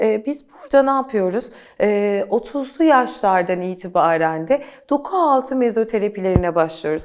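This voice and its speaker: A woman's fairly high voice with very wide pitch swings, in a very clean recording with a silent background. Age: 40s. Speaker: beauty coach. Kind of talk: interview.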